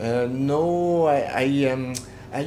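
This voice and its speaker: Noticeable noise sits behind a voice whose pitch rises and falls in an ordinary way. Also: man. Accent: Quebec. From Quebec (Jonquière). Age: 60s. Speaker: metal drummer. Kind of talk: interview. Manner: halting, many fillers.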